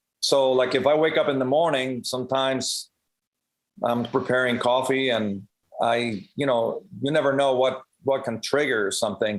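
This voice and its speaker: A man's medium-pitched voice in a Spanish accent, moderate in pace, with fairly even intonation. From Cuba, then Puerto Rico and Las Vegas. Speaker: professional drummer and percussionist. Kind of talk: podcast interview. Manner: conversational, many fillers.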